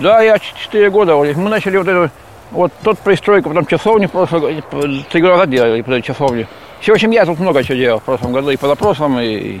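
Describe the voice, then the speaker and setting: A man talks at a very fast pace in a fairly high pitch, his voice swinging very widely, with noticeable background noise behind him. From Krasny Kholm, Tver region. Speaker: manual worker. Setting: outdoors at work site.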